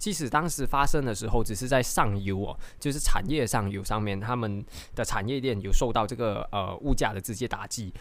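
A man talks at a fairly quick pace and medium pitch with ordinary pitch variation. Audible room echo surrounds his voice. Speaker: stock market podcast host. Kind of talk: casual explainer monologue. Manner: many fillers and hesitations.

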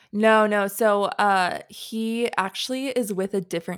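A woman's plain, everyday voice with an American accent, medium in pitch, fairly even in intonation and fairly slow, on a very clean recording with a silent background. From North Carolina. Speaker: podcast host and photographer. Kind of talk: casual chat.

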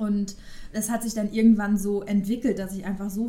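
A woman's dark, mellow, somewhat breathy voice, fairly quick and in a flat monotone. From Westphalia, Ruhr area, Germany. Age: 30s. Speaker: podcast co-host. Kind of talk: casual chat.

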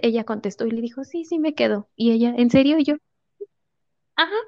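A woman speaks in a fairly high pitch with a Mexican accent. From Mexico. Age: 20s. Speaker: au pair. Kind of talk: testimony. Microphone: connection dropping briefly.

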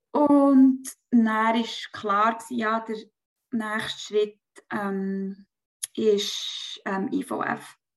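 Speaking very slowly, a woman uses a fairly high pitch and fairly even intonation. Her pauses are long and frequent. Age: 30s. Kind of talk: personal testimony in interview.

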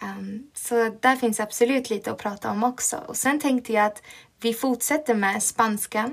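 Fairly high in pitch, a woman with an ordinary speaking voice keeps a moderate pace and fairly even intonation. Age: 20s. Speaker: podcast host, teacher student. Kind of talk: casual monologue.

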